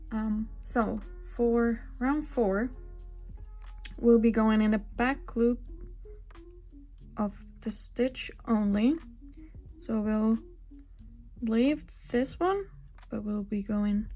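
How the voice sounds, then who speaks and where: With music in the background, a woman with a non-native accent speaks at a very slow pace, leaving long, frequent pauses. Her pitch is fairly high, with ordinary pitch variation. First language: not English. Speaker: crochet designer. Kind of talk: tutorial narration.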